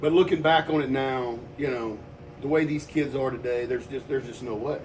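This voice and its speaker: There is noticeable background noise behind this man. He talks fairly quickly at a medium pitch with fairly even intonation. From Texas. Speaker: personal trainer. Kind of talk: casual chat. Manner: loud.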